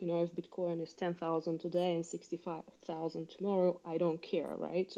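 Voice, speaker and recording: This woman's voice sits at a fairly low pitch. Her tone is dark and mellow. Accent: Russian. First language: Russian. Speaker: caller. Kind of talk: audience question. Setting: online audio space.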